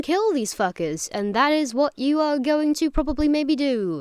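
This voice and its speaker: A woman at a moderate pace, her pitch swinging very widely, in a very clean recording with a silent background. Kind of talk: casual game review talk. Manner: rambling, hesitant.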